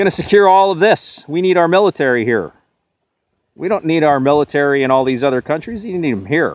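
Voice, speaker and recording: A man speaks at a fairly high pitch with lively intonation. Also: fairly quick pace. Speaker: political video blogger. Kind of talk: on-location vlog rant. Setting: outdoors at the border fence. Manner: loud, yelling.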